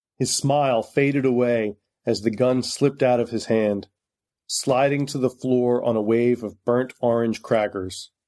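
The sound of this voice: The voice reads in an unforced way. The background is quiet.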